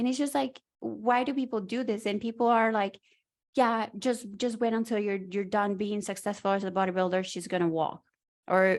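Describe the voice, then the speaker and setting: A woman speaks at a moderate pace with a non-native accent. Her pitch sits in the middle with ordinary variation, over a quiet background. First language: not English. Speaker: podcast co-host. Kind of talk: casual chat. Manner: straightforward, blunt.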